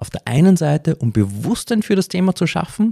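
A man speaks at a moderate pace with very wide swings in pitch. His tone is dark and mellow, somewhat breathy, and the sound is dry and close with no echo. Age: 40s. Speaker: podcast host and decision coach. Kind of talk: podcast monologue.

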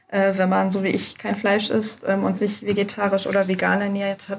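The voice is somewhat breathy and the pace fairly slow. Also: woman. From Germany. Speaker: study abroad advisor. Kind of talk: casual interview. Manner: hesitant with many fillers.

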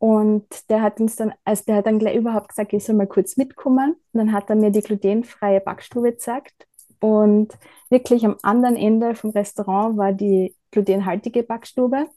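A woman talks at a moderate pace with fairly even intonation, in an ordinary speaking voice. The background is quiet. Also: fairly high pitch for a woman. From Austria, Styria (Bad Gleichenberg). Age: 30s. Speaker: graphic designer and traveller with coeliac disease. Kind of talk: casual interview.

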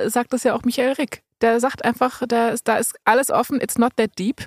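A woman talks in a high pitch at a moderate pace. The sound is dry and close, with no echo. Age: 30s. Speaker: podcast host. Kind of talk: casual chat. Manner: animated, laughs often.

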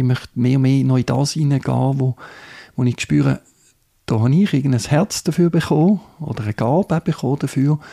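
A man with a Swiss German accent speaks at a fairly quick pace in a medium pitch, his tone dark and mellow and his pitch varying in an ordinary way, on a very clean recording with a silent background and a dry, close sound with no echo. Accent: non-Bernese Swiss German dialect. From Switzerland, Zurich Oberland. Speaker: church youth and children's worker. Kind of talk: interview. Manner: halting, many fillers.

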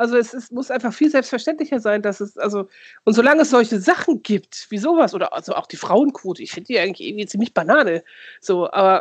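In a dry, close recording with no echo, a woman with a high voice talks fairly quickly with lively intonation. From Lower Saxony, near Osnabrück. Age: 40s. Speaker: podcast co-host, youth worker. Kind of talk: casual chat.

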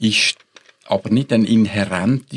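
In an unremarkable speaking voice, a man talks at a fairly slow pace, fairly low-pitched and fairly even in intonation, with a dry, close sound and no echo. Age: 60s. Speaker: ethics professor. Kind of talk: panel discussion.

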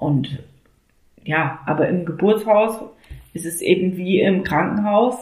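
Speaking very slowly, a woman with a fairly low, somewhat breathy voice is heard with audible room echo. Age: 30s. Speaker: mother sharing home birth story. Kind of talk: interview testimony.

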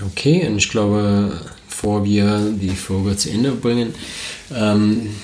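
A man's very slow speech at a fairly low pitch, with audible room echo and noticeable background noise. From United States. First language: English (speaking German). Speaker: podcast co-host, renewable energy professional. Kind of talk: casual chat. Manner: hesitant, many fillers.

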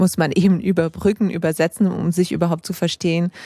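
No echo colors the dry, close sound, and the very clean recording has a silent background. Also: woman. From Geneva, Switzerland. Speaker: literary scholar. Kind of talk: casual chat. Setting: tent at a literature festival. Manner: halting, many fillers.

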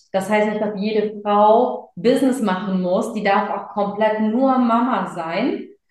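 A woman at a fairly high pitch, very slow and with hardly any pauses, ordinary pitch variation, and audible room echo. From Germany, of Sri Lankan Tamil parents. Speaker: speaker and business coach. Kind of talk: casual interview.

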